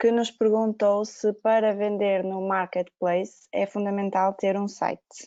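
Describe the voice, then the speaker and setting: Speaking with a European Portuguese accent, a woman keeps a medium pitch in a monotone, flat intonation. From Portugal. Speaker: Q&A moderator. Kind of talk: reading audience questions. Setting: video call webinar.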